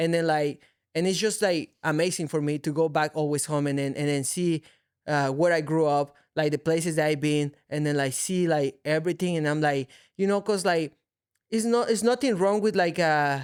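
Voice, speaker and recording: Speaking at a moderate pace with a Mexican accent, a man keeps his loudness very even, his fairly high pitch showing ordinary variation. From Mexico City, Mexico. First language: Spanish. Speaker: mixed martial arts fighter. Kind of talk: casual chat. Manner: halting.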